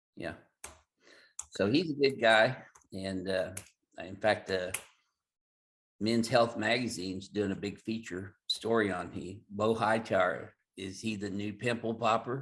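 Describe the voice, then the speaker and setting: A man with a fairly low pitch speaks at a fairly slow pace, using ordinary pitch variation and long, frequent pauses. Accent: Southern. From Southern Illinois. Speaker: chiropractor. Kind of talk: interview.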